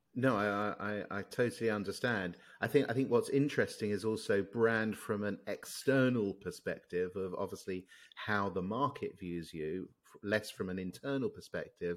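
A man's fairly low, normal speaking voice at a moderate pace, with ordinary pitch variation, big swings in loudness and a very clean recording with a silent background. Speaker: podcast host. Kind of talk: casual interview chat.

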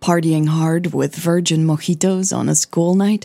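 A put-on character voice with a dark, mellow tone and vocal fry moves at a fairly slow pace with fairly even intonation. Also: woman, low pitch for a woman.

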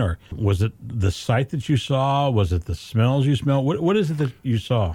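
Somewhat breathy with a dark, mellow tone, this man speaks at a moderate pace with lively intonation. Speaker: radio host. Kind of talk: radio DJ patter, upbeat broadcast host delivering show intros and ad reads. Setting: radio studio. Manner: warm, friendly, polished, upbeat.

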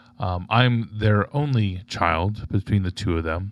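A man with an American accent and an ordinary speaking voice talks at a fairly slow pace, his fairly low pitch showing ordinary variation. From Florida (Tampa). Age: 40s. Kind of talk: casual conversation.

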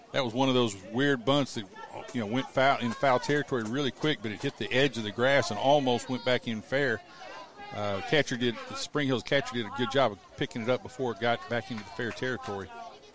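Intonation stays fairly even as a man talks. Noticeable background noise runs behind him. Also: medium pitch for a man. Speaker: color commentator. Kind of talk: live sports commentary, analytical color between pitches. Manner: relaxed, conversational, explaining strategy.

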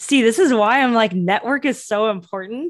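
The speaker is a woman talking at a moderate pace. The background is silent and the recording very clean. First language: Cantonese. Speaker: entrepreneur. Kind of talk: interview.

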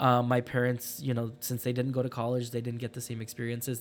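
This is a man speaking at a medium pitch. His pace is fairly quick. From Phoenix, Arizona (US Southwest). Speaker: college student. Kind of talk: interview.

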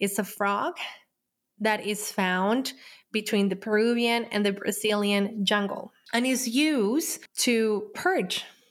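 A woman's fairly high voice in a Spanish accent at a very slow pace, with very even loudness and ordinary pitch variation, on a very clean recording with a silent background. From Colombia. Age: 30s. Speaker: podcast host and healer. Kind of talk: personal storytelling monologue.

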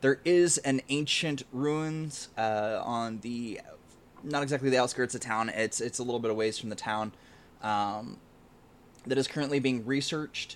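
A plain, everyday voice from a man, medium in pitch, with ordinary pitch variation and a moderate pace. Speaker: game master running the tabletop game. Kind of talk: tabletop roleplaying actual play, casual. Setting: online stream.

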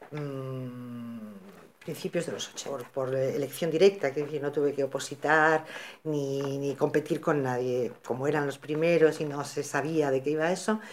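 At a fairly slow pace, a woman speaks in a very deep, low pitch with ordinary pitch variation. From Equatorial Guinea (Spanish colony), moved to Spain at 15. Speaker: psychologist. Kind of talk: interview.

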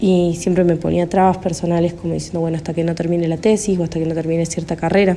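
Flat and monotone, a woman's fairly low voice moves at a fairly quick pace. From Argentina, Córdoba. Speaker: caller. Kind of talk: recorded voice message. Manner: hesitant, many fillers.

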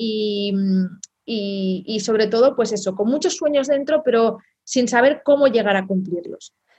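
A woman with a plain, everyday voice speaks at a fairly slow pace and a fairly high pitch, with ordinary pitch variation. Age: 30s. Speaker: online entrepreneur, team leader. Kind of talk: interview.

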